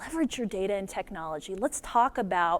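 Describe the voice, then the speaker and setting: A woman speaks fairly quickly in an animated tone, with very wide pitch swings. The recording is very clean, with a silent background. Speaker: nonprofit media co-founder and conference speaker. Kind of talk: conference keynote talk. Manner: fast.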